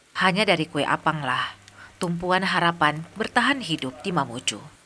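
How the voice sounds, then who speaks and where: Over noticeable background noise, a woman with a fairly low pitch talks at a moderate pace with lively intonation. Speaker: documentary narrator. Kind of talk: TV documentary narration.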